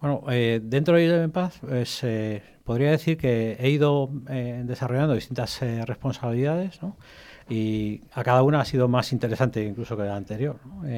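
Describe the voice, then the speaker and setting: A man with a medium pitch and ordinary pitch variation speaks at a moderate pace, heard on a very clean recording with a silent background. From Spain, from infancy (born in Egypt). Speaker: cybersecurity executive. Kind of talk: radio interview. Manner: hesitant, filler-heavy.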